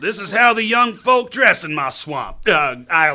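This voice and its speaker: A man's put-on character voice, high-pitched and drawling, at a moderate pace with very wide pitch swings. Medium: stage play. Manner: folksy, ungrammatical drawl.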